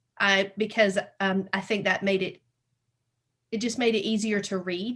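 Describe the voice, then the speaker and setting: A woman talks in a Southern US accent at a moderate pace. Her medium-pitched voice stays monotone, with flat intonation. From US South. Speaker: podcast host. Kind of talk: interview.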